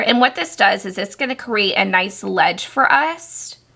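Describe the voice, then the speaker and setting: A woman's medium-pitched voice, bright and sharp in tone, with vocal fry and a very slow pace. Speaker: crochet tutorial maker. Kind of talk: tutorial.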